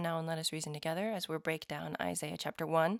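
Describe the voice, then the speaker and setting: Very fast and fairly low-pitched, a woman speaks in a dry, close recording with no echo. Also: very clean recording, silent background. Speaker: lay scripture study podcaster. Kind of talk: scripture study talk. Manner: casual, conversational.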